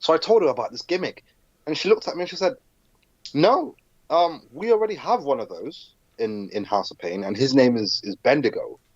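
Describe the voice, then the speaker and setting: Delivered at a fairly quick pace in a British accent, the speech shows big swings in loudness. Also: man. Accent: British, adopted as a child. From southern Africa, moved to England as a child. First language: Zulu. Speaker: professional wrestler. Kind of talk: podcast interview. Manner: hesitant, frequent repetitions.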